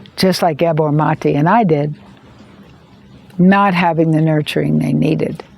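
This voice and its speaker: Speaking at a very deep, low pitch, a woman goes at a fairly slow pace with long, frequent pauses and very even loudness. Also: fairly even intonation. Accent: American. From United States. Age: 70s. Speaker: video creator on addiction and trauma. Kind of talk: personal monologue to camera. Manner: halting, many repeated words.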